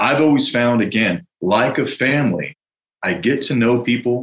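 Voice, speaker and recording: A man with an unremarkable speaking voice, medium pitch and ordinary pitch variation. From US West Coast, San Francisco. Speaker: entrepreneur, franchise founder. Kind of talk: interview.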